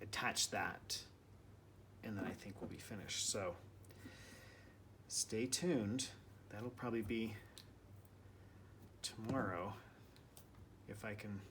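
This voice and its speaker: The speaker is soft-spoken, talking at a fairly slow pace with ordinary pitch variation. Long pauses come often. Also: man, fairly low pitch for a man. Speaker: mixed-media artist. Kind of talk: tutorial. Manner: casual.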